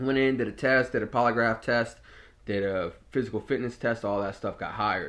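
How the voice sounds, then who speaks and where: Against a quiet background, a man's medium-pitched voice, an unremarkable speaking voice, with fairly even intonation. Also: fairly quick pace. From Norfolk, Virginia, US. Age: 20s. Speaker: podcast host, former jail officer. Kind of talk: casual personal storytelling monologue. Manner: casual, with frequent fillers and repetitions.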